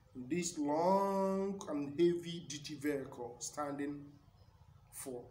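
A man is speaking. Light background noise and audible room echo can be heard. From Nigeria. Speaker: community broadcaster. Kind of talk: motivational broadcast speech. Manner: formal. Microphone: phone near.

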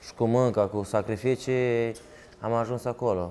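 A man's dark, mellow tone at medium pitch, monotone and flat in intonation, over light background noise. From Italy (Turin), born in Romanian Moldavia. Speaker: footballer. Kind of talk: interview. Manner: halting, repeats words. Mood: calm, sincere. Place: studio. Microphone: lapel.

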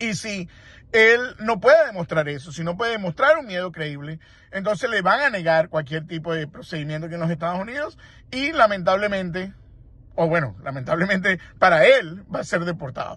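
Recorded dry with no echo, a man speaks at a moderate pace in a high, bright, sharp voice with lively intonation. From Venezuela. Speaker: immigration lawyer. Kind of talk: interview commentary; commentary. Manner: halting, with fillers. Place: car. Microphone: phone near.

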